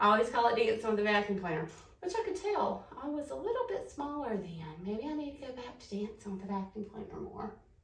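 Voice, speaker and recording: Over noticeable background noise, a woman with an American accent talks at a very fast pace with a fairly high pitch, very wide pitch swings and big swings in loudness. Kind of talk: casual talk to camera.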